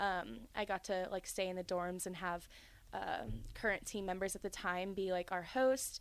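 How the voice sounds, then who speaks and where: A woman uses an ordinary speaking voice at a medium pitch. Her intonation is fairly even, on a very clean recording with a silent background. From North Carolina (born in Georgia). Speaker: college gymnast. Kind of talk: casual chat.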